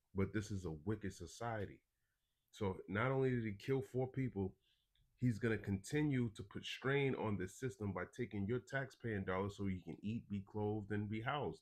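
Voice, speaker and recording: A man talks at a moderate pace in a plain, everyday voice, fairly low in pitch with ordinary pitch variation, against a quiet background. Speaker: religious teacher and news commentator. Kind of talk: live stream commentary with scripture reading.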